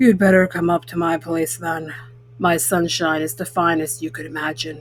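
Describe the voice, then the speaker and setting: A woman talks at a moderate pace in a put-on character voice. Her tone is raspy and her pitch very deep and low. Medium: read story. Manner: fussy, proud.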